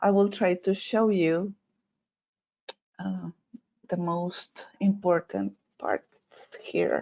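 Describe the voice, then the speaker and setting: A woman with a non-native accent speaks at a very slow pace. Long, frequent pauses break up her speech. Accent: non-native English, noticeable. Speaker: veterinarian. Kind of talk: webinar presentation. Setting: online webinar. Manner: hesitant, many fillers.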